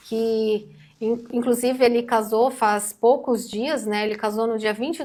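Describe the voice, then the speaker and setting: A quiet voice speaks at a fairly slow pace with fairly even intonation. The recording is very clean, with a silent background. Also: woman. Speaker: news commentator co-host. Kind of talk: news discussion on a channel. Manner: speaking quietly. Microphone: too quiet.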